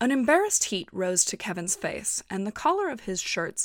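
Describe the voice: What we hear is plain reading aloud.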